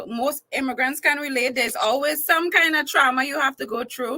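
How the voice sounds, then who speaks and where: A woman with a Trinidadian accent, bright and sharp in tone, at a fairly quick pace with ordinary pitch variation. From Trinidad and Tobago. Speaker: entertainer and talk show host. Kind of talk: casual interview.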